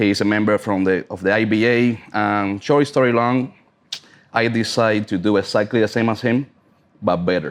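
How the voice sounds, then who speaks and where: At a moderate pace, a man with a Cuban accent talks at a fairly low pitch. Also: fairly even intonation. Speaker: cigar sommelier and brand ambassador. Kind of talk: casual chat.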